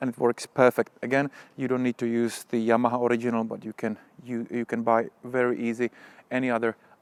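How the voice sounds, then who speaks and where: In a dry, close recording with no echo, a man speaks with a Czech accent. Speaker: motorcycle vlogger. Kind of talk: product review tutorial. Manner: halting.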